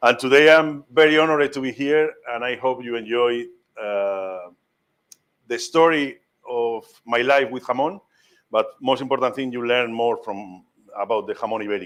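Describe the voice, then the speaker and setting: Delivered at a moderate pace in a strong Spanish accent, the speech has ordinary pitch variation. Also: man. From Spain, Madrid. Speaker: master ham carver. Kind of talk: cooking demonstration talk. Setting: cooking school demonstration with live audience. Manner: halting, with many fillers.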